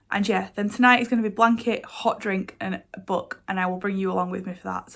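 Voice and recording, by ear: Using a put-on character voice that is raspy and croaky, a woman speaks at a fairly quick pace and a medium pitch with fairly even intonation.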